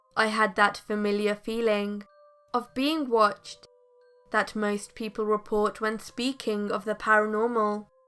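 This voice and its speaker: Over music in the background, a woman speaks fairly slowly at a fairly high pitch. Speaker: horror story narrator. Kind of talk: true scary story narration.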